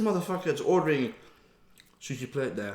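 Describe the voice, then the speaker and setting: This man sounds relaxed, and his pitch swings very widely. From Netherlands. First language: Dutch. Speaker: mukbang vlogger. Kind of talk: casual chat. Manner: casual, relaxed.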